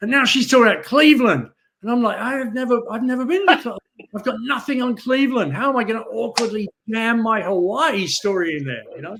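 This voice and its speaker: Very fast, lively speech with a bright, sharp tone and an English accent. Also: man, extremely high pitch for a man. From England. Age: 60s. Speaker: sales trainer. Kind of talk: podcast interview.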